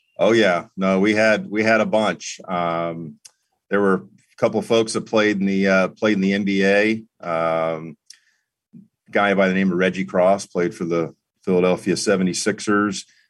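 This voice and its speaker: A man with an American accent has an unremarkable speaking voice, fairly low in pitch and fairly even in intonation. He keeps a moderate pace against a quiet background. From New York City, then South Florida. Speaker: former TV journalist, public relations professional. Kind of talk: casual interview.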